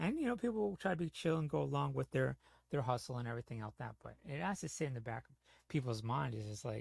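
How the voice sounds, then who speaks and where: On a very clean recording with a silent background, a man with an American accent talks at a very fast pace with big swings in loudness, the sound dry and close with no echo. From New York / New Jersey (Bronx, Jersey). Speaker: gaming streamer. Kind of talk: casual chat.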